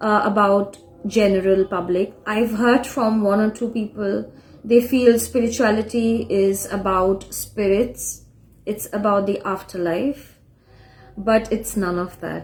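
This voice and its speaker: Speaking at a fairly slow pace, a woman with a Bengali accent keeps a medium pitch and fairly even intonation. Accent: Indian (Bengali) English. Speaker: spiritual teacher. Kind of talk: lecture. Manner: halting, frequent uh fillers.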